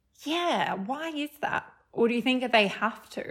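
With lively intonation, a woman speaks over noticeable background noise. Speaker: podcast co-host. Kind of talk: casual chat.

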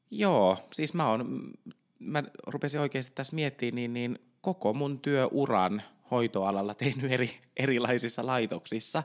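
A man at a medium pitch, very slow in pace, with ordinary pitch variation, in a very clean recording over a silent background. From Ostrobothnia, Finland. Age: 20s. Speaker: intensive care nurse and podcast co-host. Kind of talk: casual chat. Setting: home studio.

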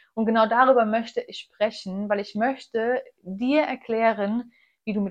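Speaking at a moderate pace, a woman uses a plain, everyday voice at medium pitch. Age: 20s. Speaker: nutrition coach and podcast host. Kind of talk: solo podcast monologue.

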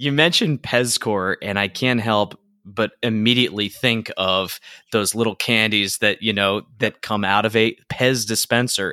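A man speaks at a medium pitch and a moderate pace, his tone bright and sharp and his intonation fairly even. The recording is very clean, dry and close, with a silent background and no echo. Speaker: podcast host and songwriter. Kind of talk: casual interview; scripted outro.

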